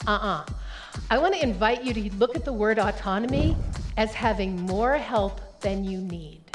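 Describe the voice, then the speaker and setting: A woman's pitch swings very widely. Background music plays throughout. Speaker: professional keynote speaker. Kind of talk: keynote speech to a live audience. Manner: high-energy, engaging.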